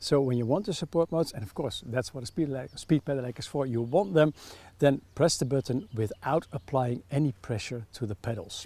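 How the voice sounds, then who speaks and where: With a Dutch accent, a man of fairly high pitch talks at a fairly quick pace in a dark, mellow, somewhat breathy tone with ordinary pitch variation, on a very clean recording with a silent background. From Netherlands. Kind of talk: product review.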